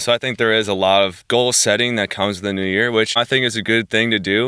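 In a plain, everyday voice, a man with an American accent talks fairly quickly with fairly even intonation. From New Jersey, US East Coast. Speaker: personal trainer. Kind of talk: interview.

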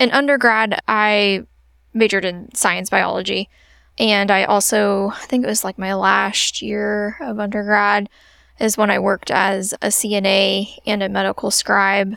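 With a Midwestern American accent, a woman speaks at a fairly slow pace and a medium pitch. Her intonation stays fairly even. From central Illinois (Springfield area). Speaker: physician assistant. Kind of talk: interview answers, casual. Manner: casual, frequent laughter.

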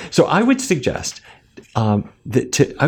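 A man speaks with an American accent and vocal fry. His pitch makes very wide swings. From North Dakota, US Upper Midwest. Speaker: physician and author. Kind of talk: interview. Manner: halting with repetitions.

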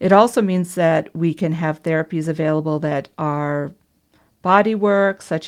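In an American accent, a woman speaks fairly slowly with a fairly low pitch and fairly even intonation. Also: very clean recording, silent background. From US Midwest, Minnesota. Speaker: naturopathic doctor. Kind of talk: interview.

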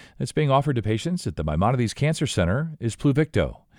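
A man with a medium-pitched voice and a touch of vocal fry talks very fast with very wide pitch swings, recorded very cleanly against a silent background. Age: 50s. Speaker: podcast host. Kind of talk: interview.

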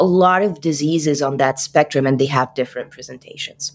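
A woman's very deep, low pitch with fairly even intonation. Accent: Arabic. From Egypt, Cairo. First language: Arabic. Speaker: physician. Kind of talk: interview.

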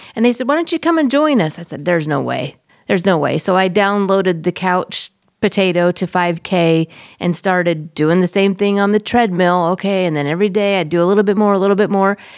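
A woman with an ordinary speaking voice talks at a fairly quick pace, medium in pitch with ordinary variation. The recording is very clean with a silent background. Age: 50s. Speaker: podcast host. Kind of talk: casual chat. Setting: studio.

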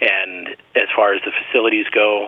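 The man talks with an American accent, and noticeable background noise is present. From rural Arizona. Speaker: medical resident. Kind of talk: interview.

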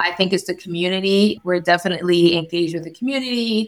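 Speaking at a fairly quick pace, a woman with an American accent has a fairly low pitch. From New York. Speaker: family physician and residency program director. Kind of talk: interview. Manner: upbeat.

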